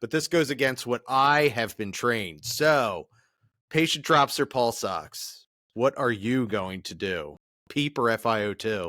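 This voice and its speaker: A man speaks at a fairly slow pace in a bright, sharp tone with lively intonation, the sound dry and close with no echo. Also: medium pitch for a man, very clean recording, silent background. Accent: Philadelphia. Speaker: podcast host, flight medic instructor. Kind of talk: podcast interview.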